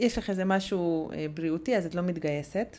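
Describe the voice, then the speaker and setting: Woman speaking fairly quickly at a fairly low pitch. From Hungary. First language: Hungarian (speaking Hebrew). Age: 30s. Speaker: podcast co-host, mother. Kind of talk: casual chat.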